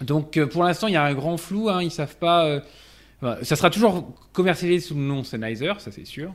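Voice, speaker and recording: An ordinary speaking voice at a moderate pace, with ordinary pitch variation and big swings in loudness. The recording is very clean, with a silent background. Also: man, fairly high pitch for a man. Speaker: tech news panelist. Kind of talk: casual chat.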